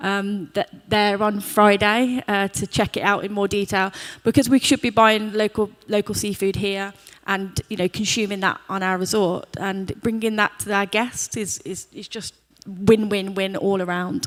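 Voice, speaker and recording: A woman speaks with an English accent. Her pitch sits in the medium range. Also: fairly even intonation, moderate pace, dry, close sound with no echo. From England. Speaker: hotel group sustainability executive. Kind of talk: panel discussion. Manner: somewhat halting, many fillers.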